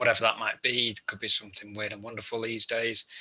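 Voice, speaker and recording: A man with a British accent. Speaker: solutions manager. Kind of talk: webinar presentation. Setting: online webinar.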